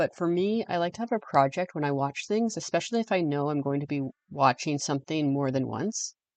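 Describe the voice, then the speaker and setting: A woman with a strong Canadian accent talks at a fairly quick pace with lively intonation and a very deep, low pitch. The sound is dry and close with no echo, over a quiet background. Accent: heavy Canadian. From English-speaking Canada. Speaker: podcast host. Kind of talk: scripted podcast monologue.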